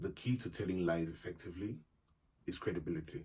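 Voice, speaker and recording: The man's voice is very deep and low, and somewhat breathy. He keeps a moderate pace with ordinary pitch variation. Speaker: YouTube vlogger. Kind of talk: casual advice monologue.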